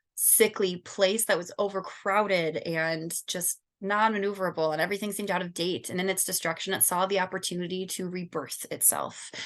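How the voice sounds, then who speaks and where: A woman with a Michigan accent talks at a fairly quick pace and medium pitch, with hardly any pauses. Her intonation is fairly even, and the background is quiet. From Southern California. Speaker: student. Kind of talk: class presentation.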